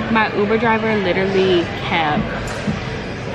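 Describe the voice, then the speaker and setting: Against loud background noise, a woman's voice sounds dry with no echo. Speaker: vlogger. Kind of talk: casual vlog chat. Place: station. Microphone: phone near.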